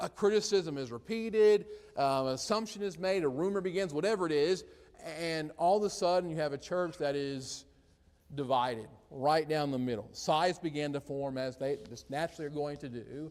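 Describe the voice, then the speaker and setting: A man's fairly high voice with lively intonation. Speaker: preacher teaching a Bible class. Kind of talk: Bible class lesson. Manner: fast; halting, with fillers and repeats.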